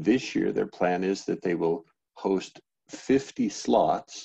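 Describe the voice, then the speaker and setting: Fairly low and dark, mellow in tone, a man's voice unfolds at a very slow pace. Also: quiet background. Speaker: open-source project maintainer. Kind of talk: online project meeting. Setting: video call. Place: home room. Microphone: headset.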